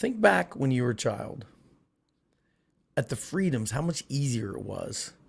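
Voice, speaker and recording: Vocal fry from a man at a moderate pace, with ordinary pitch variation and long, frequent pauses. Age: 60s. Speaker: political commentary streamer. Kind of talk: live stream monologue. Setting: live stream. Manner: animated.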